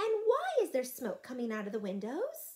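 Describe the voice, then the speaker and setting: A woman does a put-on character voice. It sits high in pitch and moves at a moderate pace. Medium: read story. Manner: gentle, warm.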